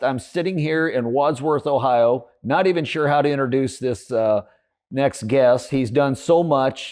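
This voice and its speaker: Against a quiet background, a man talks in an unremarkable speaking voice at a medium pitch. His pace is fairly slow, with ordinary pitch variation. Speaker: podcast host. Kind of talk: podcast interview questions.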